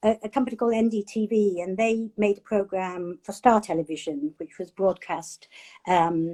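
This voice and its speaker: A woman with a dark, mellow tone speaks at a moderate pace, with a dry, close sound and no echo. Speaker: chef and food writer. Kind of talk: interview.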